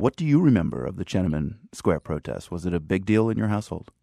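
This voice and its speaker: At a very fast pace, a man with a fairly low pitch swings very widely in tone, recorded dry and close with no echo. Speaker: radio host. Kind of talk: news interview.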